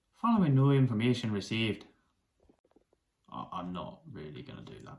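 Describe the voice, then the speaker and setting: In a British accent, a man speaks at a moderate pace in a somewhat breathy voice with very wide pitch swings. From UK. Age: 30s. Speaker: chef and news commentator. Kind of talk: opinion commentary.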